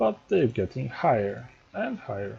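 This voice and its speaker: A man speaks with a dark, mellow tone that is somewhat breathy. His pitch swings very widely. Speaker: strategy game tutorial creator. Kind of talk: gameplay tutorial. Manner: halting, stumbling speech.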